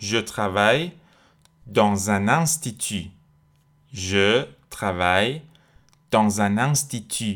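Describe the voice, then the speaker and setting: A man at a very slow pace and fairly low pitch, with long, frequent pauses, very even loudness and ordinary pitch variation. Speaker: French language teacher podcast host. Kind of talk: tutorial.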